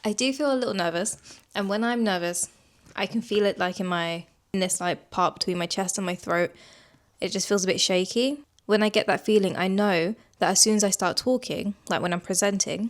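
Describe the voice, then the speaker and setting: In a very clean recording with a silent background, the words come at a fairly quick pace. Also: woman, medium pitch for a woman, ordinary pitch variation. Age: 30s. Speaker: lifestyle vlogger. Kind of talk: casual vlog narration. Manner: casual; fast.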